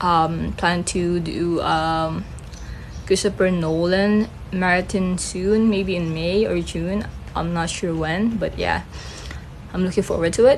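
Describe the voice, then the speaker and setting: Amid noticeable background noise and audible room echo, a woman with a Filipino accent speaks at a very slow pace. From Philippines. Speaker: film reviewer, vlogger. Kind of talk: casual chat. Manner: halting.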